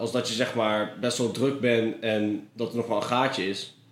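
Against noticeable background noise and audible room echo, a man talks at a moderate pace. His pitch is medium and his intonation is monotone and flat. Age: 20s. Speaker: freelance filmmaker. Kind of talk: casual interview. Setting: office in canal house.

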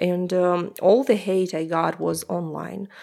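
The speaker has a Russian accent. The recording is very clean, with a silent background. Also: woman. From Russia (Omsk, Siberia). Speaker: language teacher and podcaster. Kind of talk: interview conversation.

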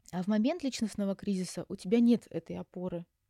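The tone is dark and mellow, and somewhat breathy. The sound is dry and close, with no echo. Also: woman, very clean recording, silent background. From Russia, Yaroslavl. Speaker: psychologist. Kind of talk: interview. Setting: Istanbul recording.

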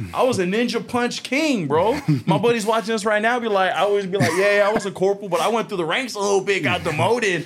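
A man with an American accent speaks at a very fast pace with hardly any pauses, his pitch high and his tone animated. His pitch varies in an ordinary way, and there is noticeable background noise. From Long Beach, California. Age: 30s. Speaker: union organizer and Marine veteran. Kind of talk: casual chat.

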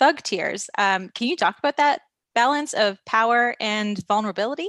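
An unremarkable speaking voice from a woman, fairly high in pitch, with lively intonation and a moderate pace. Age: 30s. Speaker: podcast host. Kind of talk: interview. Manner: casual.

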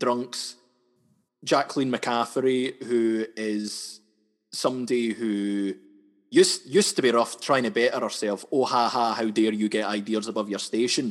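A man with a Scottish accent, medium pitch and fairly even intonation, at a fairly slow pace against a quiet background. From west coast of Scotland. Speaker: comedy sketch artist. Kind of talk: casual interview chat.

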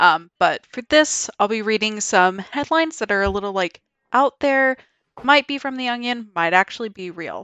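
Here is a woman with an unremarkable speaking voice at medium pitch. She talks at a moderate pace with lively intonation. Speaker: podcast host. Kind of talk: casual chat.

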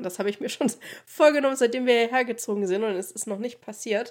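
A woman speaks with fairly even intonation in a normal speaking voice. The recording is very clean, with a silent background. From Thuringia, eastern Germany (Oberhof). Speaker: podcast co-host. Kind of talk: casual chat.

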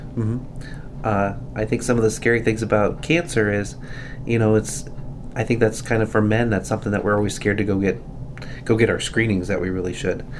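The speaker goes at a fairly quick pace with fairly even intonation but takes long, frequent pauses. There is noticeable background noise. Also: man, fairly low pitch for a man. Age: 40s. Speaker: hospital volunteer coordinator. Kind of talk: casual health chat.

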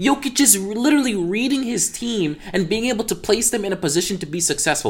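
Speaking at a fairly quick pace, a man with a high-pitched voice swings his pitch very widely. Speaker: guest Lakers fan, cameo. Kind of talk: casual opinion. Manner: earnest, repeats himself.

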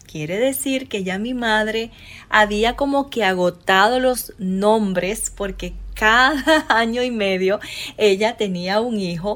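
A woman with a fairly high pitch speaks very slowly, her pitch varying in an ordinary way. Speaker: podcast host. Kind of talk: personal storytelling.

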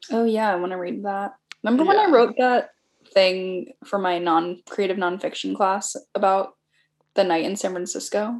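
At a moderate pace, a woman speaks in an unremarkable speaking voice with a medium pitch and ordinary pitch variation. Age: 30s. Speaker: podcast guest, friend of host. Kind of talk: casual chat.

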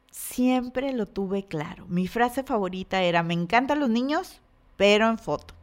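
On a very clean recording with a silent background, a woman speaks at a moderate pace in a fairly high pitch. Her tone is animated and her intonation lively. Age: 40s. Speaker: podcast host and business coach. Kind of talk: motivational monologue.

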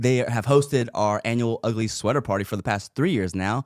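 This is a normal speaking voice with ordinary pitch variation. The sound is dry and close, with no echo. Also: man. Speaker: podcast host. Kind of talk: casual chat. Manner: hype announcer patter, loud, crowd-pumping, rapid-fire.

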